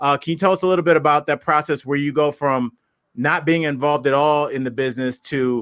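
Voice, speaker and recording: A man with an American accent talks at a fairly quick pace in a normal speaking voice, pitched fairly high. His intonation is fairly even, and the sound is dry and close with no echo. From Ohio. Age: 40s. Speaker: podcast host and comedian. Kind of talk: podcast interview. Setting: podcast.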